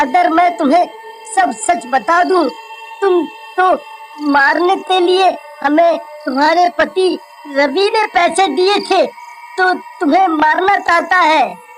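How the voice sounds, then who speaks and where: An extremely high, put-on character voice at a fairly slow pace. Background noise is clearly audible. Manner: stuttering, pleading.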